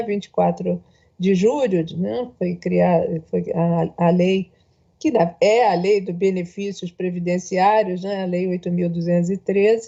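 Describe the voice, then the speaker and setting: Speaking at a moderate pace, a woman uses a normal speaking voice of medium pitch with fairly even intonation. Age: 60s. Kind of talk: panel speech.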